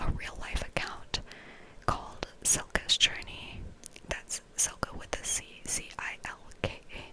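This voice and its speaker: Whispering at a very slow pace, a woman speaks in a relaxed tone. There is noticeable background noise. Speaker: ASMR creator. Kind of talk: ASMR book review ramble to camera. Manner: whispered, relaxed.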